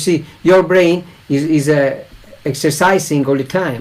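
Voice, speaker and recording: At a moderate pace, a man with a fairly high pitch speaks in fairly even intonation. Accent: Italian. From Italy. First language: Italian. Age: 40s. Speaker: English learner. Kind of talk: casual conversation in an online English lesson.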